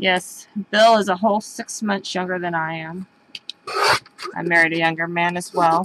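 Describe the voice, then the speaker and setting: Speaking at a fairly low pitch with fairly even intonation, a woman leaves long, frequent pauses. Noticeable background noise is present. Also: moderate pace. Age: 40s. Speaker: craft show host. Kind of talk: casual chat. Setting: live video stream. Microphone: cutting in and out.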